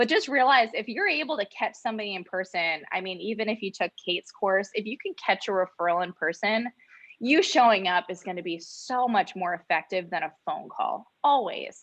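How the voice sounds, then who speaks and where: In an ordinary speaking voice, a woman talks at a fairly quick pace with a fairly high pitch and lively intonation, in a dry, close sound with no echo. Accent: American. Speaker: insurance sales agent. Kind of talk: training talk.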